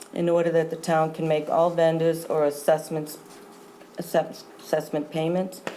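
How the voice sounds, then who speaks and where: With an American accent, a woman speaks at a fairly low pitch. Noticeable background noise runs under her voice. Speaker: town treasurer. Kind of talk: formal report at a town board meeting. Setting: town board meeting room. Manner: formal.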